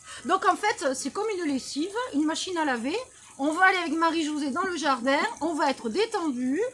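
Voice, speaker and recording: Loud and extremely high-pitched, a woman talks at a fairly quick pace with lively intonation. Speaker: well-being practitioner, channel host. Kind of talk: casual interview. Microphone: no microphone.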